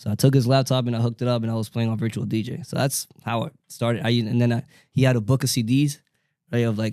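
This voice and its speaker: With a Spanish accent, a man speaks very fast in a dark, mellow tone at medium pitch, his intonation monotone and flat. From New York, Dominican family. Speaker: DJ. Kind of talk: casual chat. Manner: halting, many fillers.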